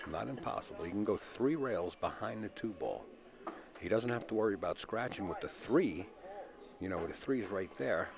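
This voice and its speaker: A relaxed tone at a moderate pace, with long, frequent pauses and noticeable background noise. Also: man. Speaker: pool commentator. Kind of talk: live commentary. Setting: live stream from a pool hall. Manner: slight stutter.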